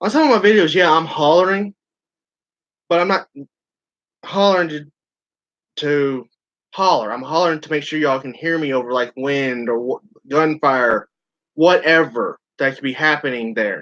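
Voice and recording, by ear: Speaking at a moderate pace with long, frequent pauses, a man has a fairly high pitch, a fairly bright tone and ordinary pitch variation.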